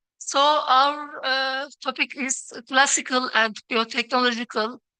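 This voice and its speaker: A woman with a Turkish accent speaks with fairly even intonation. The sound is dry and close with no echo, over a quiet background. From Turkey. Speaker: plant breeder, scientist. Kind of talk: conference presentation. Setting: workshop stage. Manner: halting.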